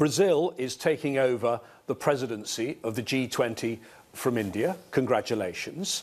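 A man speaks in a normal speaking voice at medium pitch. His pace is fairly slow. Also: lively intonation. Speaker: television interviewer. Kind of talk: interview.

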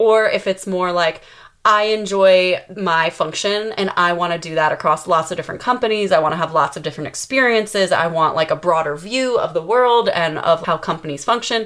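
A woman with an ordinary speaking voice talks at a fairly quick pace, her pitch medium, with ordinary pitch variation. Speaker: podcast host. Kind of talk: casual interview chat.

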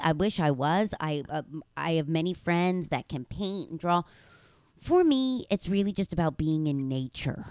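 Pitched fairly low, the woman has an unremarkable speaking voice. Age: 30s. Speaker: author and motivational speaker. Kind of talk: casual chat.

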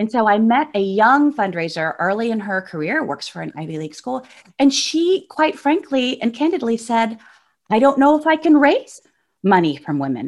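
Against a quiet background, a woman with a fairly high pitch talks at a moderate pace, her pitch swinging very widely. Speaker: philanthropy researcher. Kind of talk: interview. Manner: halting, many fillers.

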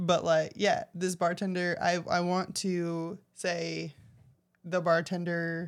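A woman's fairly low, playful voice in a monotone, flat intonation at a very slow pace, on a very clean recording with a silent background. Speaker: co-host, bar patron. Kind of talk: casual chat and reading stories aloud. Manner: playful, laughs often.

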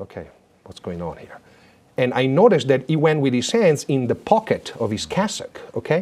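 A fairly high male voice with vocal fry and very wide pitch swings. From Italy. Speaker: former papal bodyguard and business teacher. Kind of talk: interview storytelling.

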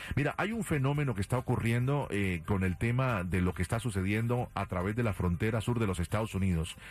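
A man talks fairly quickly in a normal speaking voice, his pitch fairly low with ordinary variation. His loudness is very even, and he hardly pauses. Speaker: radio host. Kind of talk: radio dj patter. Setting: studio.

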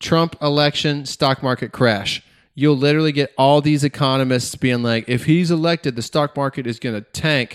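A man with an American accent and a plain, everyday voice talks at a moderate pace and a fairly high pitch. The sound is dry and close with no echo, and the intonation is fairly even. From US South (Georgia). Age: 30s. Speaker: podcaster. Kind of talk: casual chat. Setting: remote recording.

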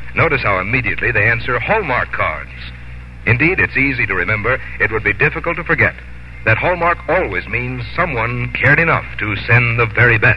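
Noticeable background noise surrounds the speaker. He is a man talking at a fairly quick pace. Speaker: radio announcer. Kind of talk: radio commercial and announcements.

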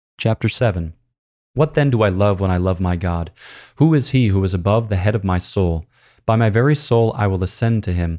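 A man's fairly low voice, dark and mellow in tone, at a fairly quick pace with ordinary pitch variation, on a very clean recording with a silent background. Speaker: priest and podcast host. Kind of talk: literary audiobook reading of Augustine, solemn and prayerful, then casual commentary. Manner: measured, reverent reading pace, meditative; conversational, explanatory, with filler words and laughs.

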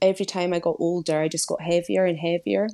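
Against a quiet background, a dark, mellow voice speaks with a Scottish accent and fairly even intonation. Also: woman. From Scotland. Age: 30s. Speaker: weight loss story guest, marketing executive. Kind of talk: interview, personal testimony.

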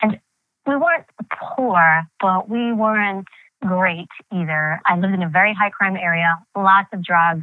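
In an American accent, a woman with an unremarkable speaking voice talks fairly slowly at a medium pitch with ordinary pitch variation. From New York City (Queens). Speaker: journalist and former federal agent. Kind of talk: interview.

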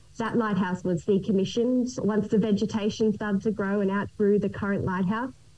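Speaking with an Australian accent, a woman with a medium pitch and a dark, mellow tone talks at a fairly quick pace in flat, monotone intonation, her loudness very even and hardly any pauses. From Australia, Gold Coast. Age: 30s. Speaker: island resort family operator and pilot. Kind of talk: interview.

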